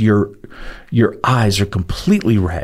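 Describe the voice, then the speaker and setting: Moderate pace and medium pitch mark this man's delivery. His voice is somewhat breathy. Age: 60s. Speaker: podcast co-host, chronic pain survivor. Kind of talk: faith-based podcast conversation.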